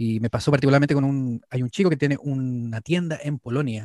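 With a Chilean accent, a man speaks at a fairly quick pace in a medium, dark, mellow voice with ordinary pitch variation, the sound dry and close with no echo over a quiet background. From northern Chile, Antofagasta. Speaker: mate specialist and YouTuber. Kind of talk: casual interview.

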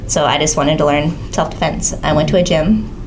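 The fairly even intonation comes through with audible room echo and noticeable background noise. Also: woman. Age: 20s. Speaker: mixed martial arts fighter. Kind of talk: casual chat.

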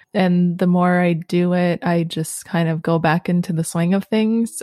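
At a fairly slow pace, a woman with a Canadian accent speaks in a fairly low pitch and a dark, mellow tone, her intonation monotone and flat, with a dry, close sound and no echo. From Canada, Sudbury, Ontario. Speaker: podcast host, language learner. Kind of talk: casual chat.

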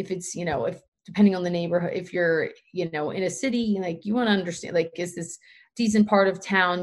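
Speaking fairly quickly, a woman with an American accent uses an ordinary speaking voice at a medium pitch with fairly even intonation. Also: quiet background. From Pennsylvania. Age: 30s. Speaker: trail runner and running community founder. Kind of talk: casual interview.

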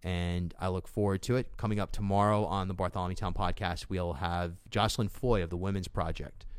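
With hardly any pauses, a man talks at a fairly quick pace in a very deep, low pitch and fairly even intonation. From rural western Rhode Island. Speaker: podcast host. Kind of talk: solo political commentary.

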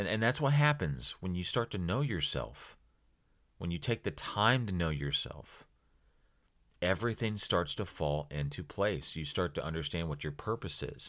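A man's very deep, low voice with an American accent and very wide pitch swings, at a moderate pace in a very clean recording with a silent background. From US Midwest (small-town Ohio). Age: 30s. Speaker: podcast host. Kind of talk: solo motivational podcast talk. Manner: casual, conversational.

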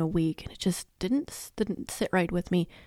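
A soft-spoken woman talks at a moderate pace with fairly low pitch and a dark, mellow tone. The sound is dry and close with no echo, in a very clean recording with a silent background. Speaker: podcast host and sleep consultant. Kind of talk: casual monologue. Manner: trails off softly at the end of sentences.

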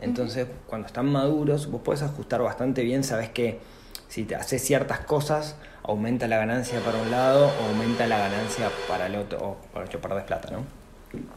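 There is audible room echo and noticeable background noise. A man speaks at a fairly quick pace with a medium pitch and ordinary pitch variation. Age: 40s. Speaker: personal finance podcaster and entrepreneur. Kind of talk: interview conversation.

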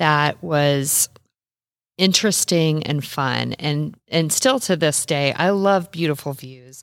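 In a very clean recording with a silent background, a woman with a very deep, low voice speaks at a fairly slow pace with an American accent and ordinary pitch variation. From US Midwest, Nebraska. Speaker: travel blogger. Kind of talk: casual chat.

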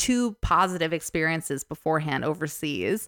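A woman with a New Jersey accent and fairly low pitch speaks with lively intonation on a very clean recording, silent in the background, with a dry, close sound and no echo. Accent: New Jersey American. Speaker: stripper. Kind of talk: casual chat.

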